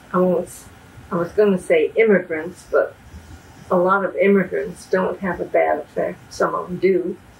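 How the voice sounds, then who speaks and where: A woman with an American accent speaks at a moderate pace, with big swings in loudness. Noticeable background noise is present. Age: 80s+. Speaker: interviewee. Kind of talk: interview. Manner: hesitant.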